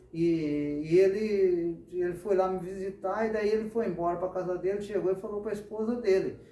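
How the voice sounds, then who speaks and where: A man's high voice at a moderate pace, with noticeable background noise and audible room echo. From Brazil, São Paulo state. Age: 60s. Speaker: church member giving testimony. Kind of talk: testimony.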